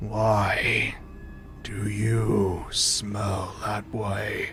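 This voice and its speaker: Over clear music in the background, a man uses a put-on character voice at a fairly low pitch. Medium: actual play. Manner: slow, imperious, condescending.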